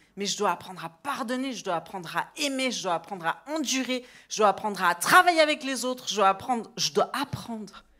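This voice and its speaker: A woman's animated, bright, sharp tone with very wide pitch swings. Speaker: preacher. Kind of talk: sermon. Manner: loud.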